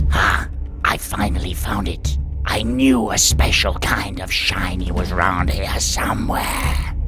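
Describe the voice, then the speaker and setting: Over loud background music, a man uses a put-on character voice at a fairly slow pace. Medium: solo performance. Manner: greedy, suspicious.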